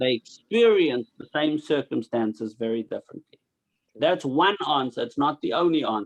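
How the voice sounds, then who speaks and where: A man with an unremarkable speaking voice talks at a moderate pace, with ordinary pitch variation. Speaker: religious teacher. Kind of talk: lecture.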